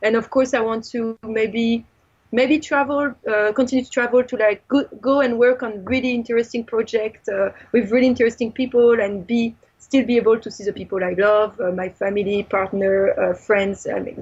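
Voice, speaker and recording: A fairly high-pitched woman with a strong French accent at a moderate pace. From France. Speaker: film director and visual artist. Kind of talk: interview. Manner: animated.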